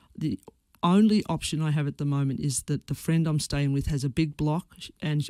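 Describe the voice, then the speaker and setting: On a very clean recording with a silent background, a woman with an Australian accent speaks in a very deep, low voice with a dark, mellow tone. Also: dry, close sound with no echo. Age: 60s. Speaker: former teacher. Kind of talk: radio interview answer.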